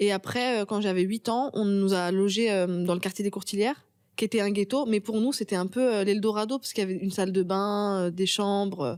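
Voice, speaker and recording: A woman with a plain, everyday voice talks at a fairly quick pace, using medium pitch and fairly even intonation. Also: very clean recording, silent background. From Paris suburbs (Pantin, Seine-Saint-Denis), France. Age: 30s. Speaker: novelist and screenwriter. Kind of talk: interview.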